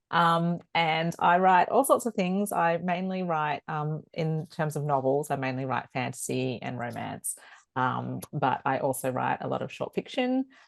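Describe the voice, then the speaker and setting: A woman talks at a fairly slow pace with a strong Australian accent. The background is quiet. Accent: broad Australian. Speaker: author and veterinarian. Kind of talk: panel discussion. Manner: hesitant with many fillers.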